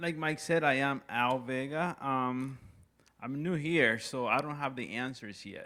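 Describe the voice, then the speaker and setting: With a Puerto Rican accent, a man speaks at a fairly high pitch in a bright, sharp tone. His pace is fairly slow. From Puerto Rico. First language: Spanish. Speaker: new staff member. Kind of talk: self-introduction. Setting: community town hall meeting.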